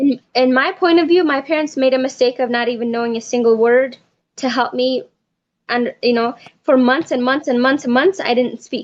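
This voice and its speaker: Her voice high in pitch, a woman speaks at a moderate pace with ordinary pitch variation. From Ethiopia. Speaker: adoptee sharing abuse experience. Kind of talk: casual chat.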